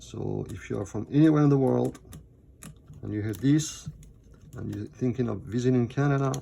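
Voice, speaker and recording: A man with a non-native accent speaks with long, frequent pauses. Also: moderate pace, big swings in loudness. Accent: foreign. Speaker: MacBook repair technician. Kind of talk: tutorial. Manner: halting, many fillers.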